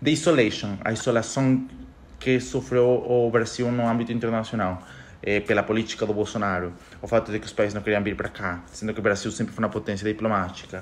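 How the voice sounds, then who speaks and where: Fairly quick speech from a man, ordinary pitch variation throughout. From Ecuador. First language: Spanish (speaking Portuguese). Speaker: economist podcaster. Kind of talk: casual monologue podcast. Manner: halting, self-correcting.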